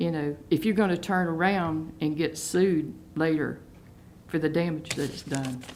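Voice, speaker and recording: A woman speaks with a Southern US accent at a moderate pace, her pitch very deep and low. Her intonation stays fairly even, and room echo is audible. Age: 60s. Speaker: local resident. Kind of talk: public hearing comment. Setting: county board meeting.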